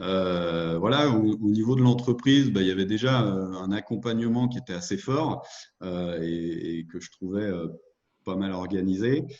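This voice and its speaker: A fairly slow pace with ordinary pitch variation. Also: man, fairly low pitch for a man. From France, Lyon region (Beaujolais). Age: 30s. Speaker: entrepreneur, former corporate manager. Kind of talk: interview. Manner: halting, many hesitations.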